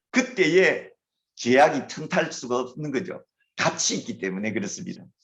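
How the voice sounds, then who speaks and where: Here a man with a fairly high pitch speaks at a moderate pace, showing vocal fry. His pitch swings very widely against a quiet background. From Gyeongsang Province, Korea. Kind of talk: lecture.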